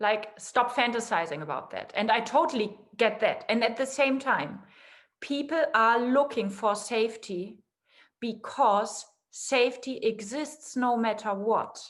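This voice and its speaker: Speaking fairly slowly, a woman uses a fairly high pitch with ordinary pitch variation. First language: not English. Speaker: guest in a conversation series. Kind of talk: casual philosophical conversation.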